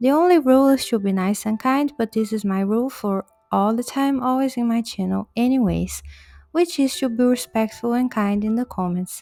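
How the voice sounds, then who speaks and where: With a non-native accent, a woman talks at a moderate pace in a fairly high pitch, with a dark, mellow tone and ordinary pitch variation. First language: not English. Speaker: linguistics educator, video essayist. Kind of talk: educational video narration.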